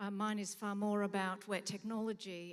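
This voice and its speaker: With an Australian accent, a woman talks at a fairly quick pace in a monotone, flat intonation. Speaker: museum director. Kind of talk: conference talk. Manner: halting.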